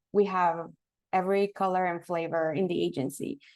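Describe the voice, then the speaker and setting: Speaking with a Spanish accent, a woman with a fairly low pitch talks at a fairly slow pace with fairly even intonation over a quiet background. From Mexico. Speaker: marketing professional. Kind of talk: guest lecture.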